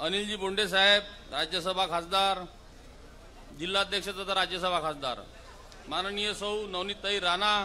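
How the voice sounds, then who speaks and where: The man's pitch is high and his intonation fairly even. He uses a raised, projected voice. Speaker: politician. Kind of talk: political speech at a rally. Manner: bold, punchy.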